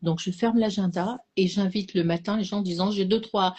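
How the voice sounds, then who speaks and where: A woman's somewhat breathy voice at medium pitch, fairly quick pace, fairly even intonation. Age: 60s. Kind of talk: casual chat. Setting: live stream. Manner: halting.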